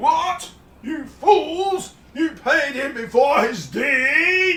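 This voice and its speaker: A very slow, high-pitched put-on character voice with an Australian accent. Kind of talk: radio comedy drama.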